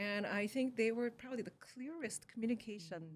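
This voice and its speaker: A woman with a Korean accent talks at a moderate pace. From Korea, moved to Canada at sixteen. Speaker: communication scientist and educator. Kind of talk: interview.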